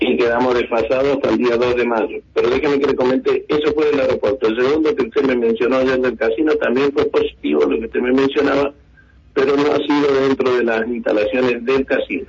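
This man talks at a very fast pace, his loudness very even throughout. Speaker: taxi drivers' union leader. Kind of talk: radio phone interview.

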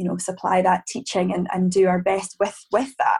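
A woman speaks at a moderate pace. Her medium-pitched voice is somewhat breathy. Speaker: primary school teacher. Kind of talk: casual interview chat.

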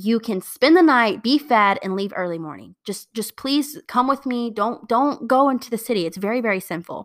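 Speaking at a moderate pace with hardly any pauses, a woman with an American accent uses a fairly high, animated voice with lively intonation on a very clean recording with a silent background. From Indiana, US Midwest. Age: 20s. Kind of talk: Bible study talk.

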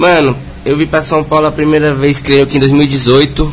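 Noticeable background noise runs through the clip. A man talks fairly quickly at a fairly high pitch. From Brazil, Brasília. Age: 20s. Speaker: funk MC. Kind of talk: casual chat.

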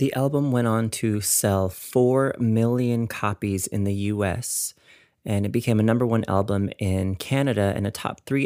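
The recording is very clean, with a silent background. A man talks at a fairly low pitch with ordinary pitch variation. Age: 30s. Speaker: podcast host and musician. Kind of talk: solo podcast monologue. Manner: animated.

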